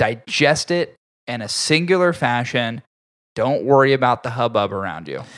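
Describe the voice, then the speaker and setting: A man with an unremarkable speaking voice, moderate pace and ordinary pitch variation, in a very clean recording with a silent background. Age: 30s. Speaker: podcast host, cigar reviewer. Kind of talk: casual chat. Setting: studio.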